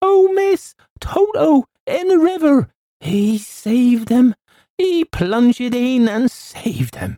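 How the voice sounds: A put-on character voice with a dark, mellow tone moves slowly through big pitch swings. The sound is dry and close, with no echo. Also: man, extremely high pitch for a man.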